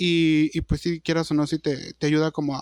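The man has a plain, everyday voice, fairly high in pitch, at a moderate pace. The sound is dry and close, with no echo. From Durango, Mexico. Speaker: podcast co-host. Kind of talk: casual chat. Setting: video call.

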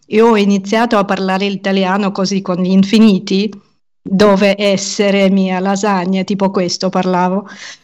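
A woman speaks in a flat monotone at a medium pitch and moderate pace. The recording is very clean, with a silent background. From Ukraine. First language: Russian and Ukrainian (speaking Italian). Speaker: podcaster and language teacher. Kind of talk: interview conversation.

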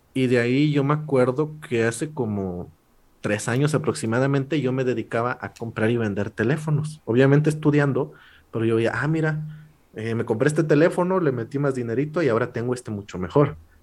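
An unremarkable speaking voice from a man, medium in pitch with ordinary variation, at a fairly quick pace in a very clean recording with a silent background. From Mexico, rural Puebla state. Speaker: law student and comedy YouTuber. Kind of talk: casual chat.

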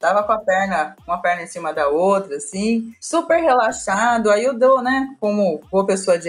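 A woman speaks at medium pitch and a moderate pace with a São Paulo accent, her pitch swinging very widely. Noticeable background noise runs underneath. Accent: Paulistano Brazilian Portuguese. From Brazil, São Paulo. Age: 40s. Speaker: HR and recruiting professional. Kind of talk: interview.

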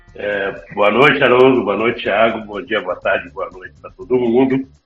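With music in the background, a man speaks at a moderate pace and medium pitch. His intonation is fairly even, while his loudness swings widely. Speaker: podcast co-host. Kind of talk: casual chat.

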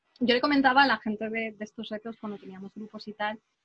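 A woman's somewhat breathy, fairly high voice with ordinary pitch variation, dry and close with no echo. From southern Spain. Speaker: writer and editor. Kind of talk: interview.

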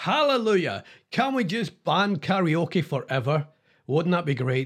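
A man speaks in a high pitch with a Scottish accent. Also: very clean recording, silent background. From Scotland. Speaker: comedic radio DJ. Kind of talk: comedic monologue; reading news aloud. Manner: animated; halting with fillers.

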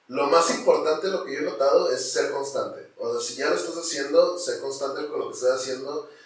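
Audible room echo surrounds the recording. A man talks over noticeable background noise. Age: 20s. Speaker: content creator and comedian. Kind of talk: interview.

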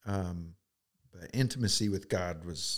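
Ordinary pitch variation in an Oklahoma accent. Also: man. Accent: Oklahoma American. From Oklahoma, US. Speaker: realtor and camp director. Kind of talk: testimony.

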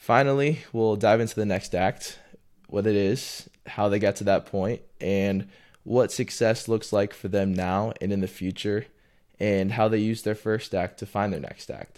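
A man speaks at a moderate pace with a fairly low pitch and an unremarkable speaking voice. His intonation stays fairly even on a very clean recording with a silent background. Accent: American. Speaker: podcast host. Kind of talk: casual interview.

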